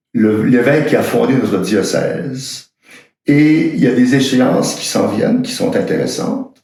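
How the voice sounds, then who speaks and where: A man is heard speaking, with audible room echo around his voice. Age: 70s. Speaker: priest. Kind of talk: personal video message. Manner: halting, frequent hesitations.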